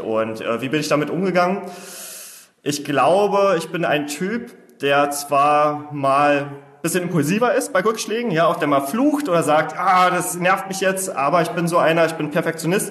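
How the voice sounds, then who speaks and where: A man's voice comes through with audible room echo and noticeable noise behind it. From Saxony-Anhalt, Germany (Osterburg, Altmark). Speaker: startup founder. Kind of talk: interview. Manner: very fast.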